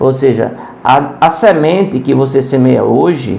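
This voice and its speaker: A man's fairly high voice at a fairly slow pace, with audible room echo and noticeable background noise. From Brazil, Pernambuco (Serra Talhada). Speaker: preacher. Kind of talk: sermon. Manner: halting.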